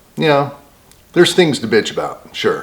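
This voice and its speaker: The man is soft-spoken. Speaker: homesteading vlogger. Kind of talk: casual vlog monologue. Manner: quiet, soft-spoken.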